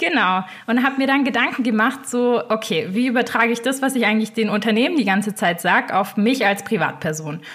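A woman's plain, everyday voice, fairly high in pitch with lively intonation, at a fairly quick pace with hardly any pauses and very even loudness. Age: 20s. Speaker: finance blogger. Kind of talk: interview. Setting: video call.

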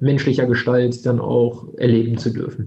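The voice is monotone with flat intonation, a dark, mellow tone and a somewhat breathy quality. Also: man. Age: 20s. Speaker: insurance broker, company founder. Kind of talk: interview.

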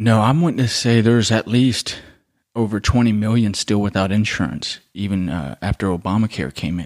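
In a very clean recording with a silent background, a man with an American accent talks at a moderate pace in a normal speaking voice with ordinary pitch variation. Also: fairly low pitch for a man. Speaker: podcast co-host. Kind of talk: casual debate.

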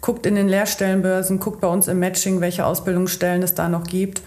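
A woman speaks with audible room echo. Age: 30s. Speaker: chamber of commerce training advisor. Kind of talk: casual chat.

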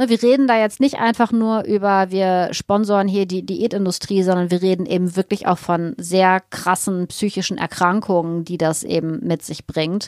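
A woman talks at a fairly slow pace in a medium pitch with ordinary pitch variation, in an unremarkable speaking voice. The sound is dry and close, with no echo. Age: 50s. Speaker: naturopath and nutrition expert. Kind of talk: casual interview.

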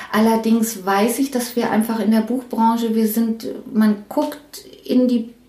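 Noticeable background noise runs under a voice that talks at a fairly slow pace. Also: woman. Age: 50s. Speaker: head of book production at a publisher. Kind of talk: interview. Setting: her office. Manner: halting.

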